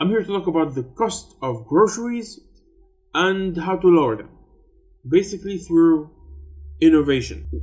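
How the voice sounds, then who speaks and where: Over music in the background, a man with a high pitch and lively intonation talks at a moderate pace, with long, frequent pauses and big swings in loudness. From Tunisia. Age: 30s. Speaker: YouTube commentator. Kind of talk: explainer video.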